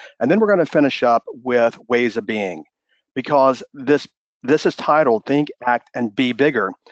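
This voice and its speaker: A man's energetic, fairly quick delivery at medium pitch with ordinary pitch variation. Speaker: business mindset coach. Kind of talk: webinar presentation. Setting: live webinar broadcast. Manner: fast.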